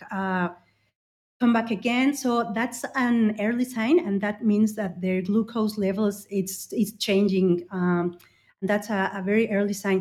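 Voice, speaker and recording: On a very clean recording with a silent background, a woman's somewhat breathy, fairly high voice moves at a fairly slow pace with ordinary pitch variation. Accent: Spanish. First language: Spanish. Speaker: ophthalmologist. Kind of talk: interview. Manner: halting, many fillers.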